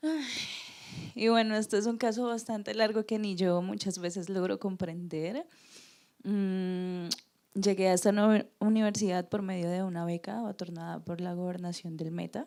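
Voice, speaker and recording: The recording is very clean, with a silent background. A woman with a dark, mellow tone talks at a fairly slow pace. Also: medium pitch for a woman, ordinary pitch variation. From Colombia, Neiva. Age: 20s. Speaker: university student. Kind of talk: personal testimony.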